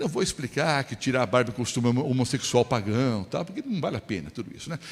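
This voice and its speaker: A man speaks at a very fast pace, with a medium pitch. His voice is somewhat breathy, with lively intonation. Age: 60s. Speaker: pastor. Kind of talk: sermon. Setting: church. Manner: conversational, rhetorical questions.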